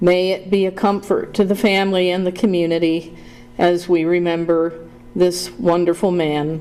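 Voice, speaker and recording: At a moderate pace, a woman speaks with a dark, mellow tone, a fairly low pitch and monotone, flat intonation. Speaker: pastor. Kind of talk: prayer invocation. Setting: board room meeting. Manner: loud.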